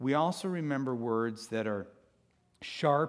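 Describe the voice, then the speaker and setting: A man speaks in an animated tone at a fairly slow pace. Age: 50s. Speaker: guest speaker at church, youth and parenting author. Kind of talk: sermon. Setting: church stage with audience.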